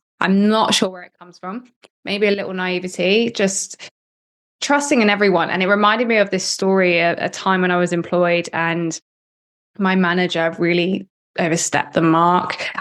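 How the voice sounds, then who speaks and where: With a West Country accent, a woman speaks at a medium pitch with fairly even intonation and big swings in loudness. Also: moderate pace. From Cornwall, southwest England. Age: 20s. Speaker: marketer and podcast producer. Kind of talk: interview.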